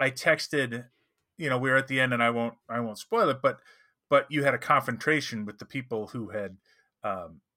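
With a bright, sharp tone, a man talks at a moderate pace and medium pitch, showing ordinary pitch variation.

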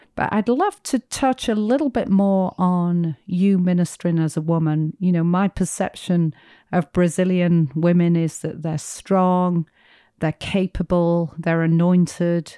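Against a quiet background, a woman with an American accent speaks in a plain, everyday voice at a fairly slow pace, her fairly low pitch moving with ordinary variation in a dry, close sound with no echo. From outside the US. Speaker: podcast co-host. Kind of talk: interview.

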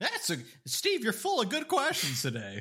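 A man speaks in a raised, projected voice with a bright, sharp tone, his pitch swinging very widely. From Canada. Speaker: podcast co-host. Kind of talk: casual chat.

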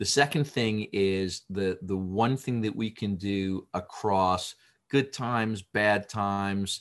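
A man's normal speaking voice at a fairly low pitch, with ordinary pitch variation, against a quiet background. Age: 50s. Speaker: business executive. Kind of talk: interview.

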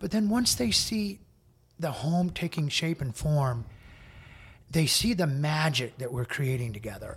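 A man with an American accent speaks fairly slowly in a fairly high, somewhat breathy voice. His pitch swings very widely, and he takes long, frequent pauses. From US Midwest, small-town Indiana. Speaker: interior designer. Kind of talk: casual interview. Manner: direct, straightforward.

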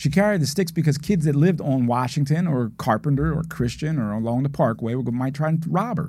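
A man speaks at a fairly quick pace in a dark, mellow tone, somewhat breathy. His pitch is fairly high, with ordinary variation. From Philadelphia. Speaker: former district attorney. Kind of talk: podcast interview. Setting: studio.

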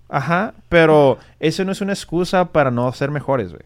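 This man has an ordinary speaking voice with fairly high pitch. His intonation is lively. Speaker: podcast host, physician. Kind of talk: casual chat.

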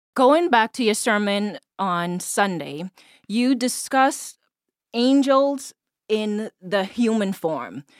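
A woman with a Bahamian accent speaks very slowly and fairly high, with very wide pitch swings, big shifts in loudness, and long, frequent pauses. The sound is dry and close with no echo, a very clean recording against a silent background. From Bahamas (Eleuthera). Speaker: podcast guest host. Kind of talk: casual faith discussion.

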